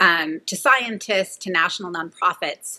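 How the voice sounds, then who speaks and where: In a Californian accent, a woman with a fairly low pitch and a bright, sharp tone talks at a fairly slow pace with ordinary pitch variation. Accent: Californian American. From California, Central Valley. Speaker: nonprofit director. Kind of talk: interview.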